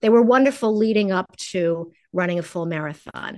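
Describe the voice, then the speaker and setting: A woman with an unremarkable speaking voice and lively intonation, against a quiet background. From New York. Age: 60s. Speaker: nutritionist and chef. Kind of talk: casual interview.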